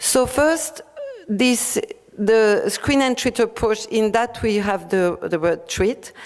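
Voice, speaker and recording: A woman speaks with a fairly high pitch. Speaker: public health official presenting guidelines. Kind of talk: conference presentation. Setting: conference workshop. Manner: fast; hesitant, many fillers.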